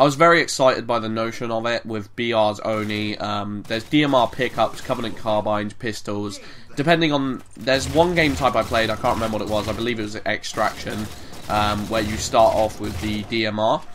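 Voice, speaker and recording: Noticeable background noise sits under a man's voice. He talks at a fairly quick pace and a medium pitch, with ordinary pitch variation. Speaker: gaming commentator. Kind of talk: video game commentary. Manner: casual, hesitant with many fillers.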